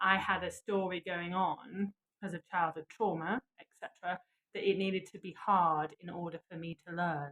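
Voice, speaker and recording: Her voice fairly low and flat in a monotone, a woman with a Lancashire accent speaks at a moderate pace in a dry, close sound with no echo. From northern England, Blackpool. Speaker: yoga and manifestation teacher. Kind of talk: live guided session.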